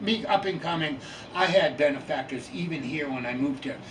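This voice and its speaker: A man with an American accent speaks at a moderate pace, his pitch fairly high. The room has audible echo, and background noise is noticeable. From Boston area, Massachusetts. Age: 70s. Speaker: folk musician. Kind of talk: interview storytelling. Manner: halting, many fillers.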